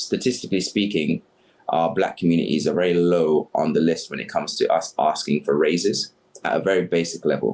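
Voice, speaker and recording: Talking fairly quickly, the man has a British accent. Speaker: community activist. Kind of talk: podcast interview.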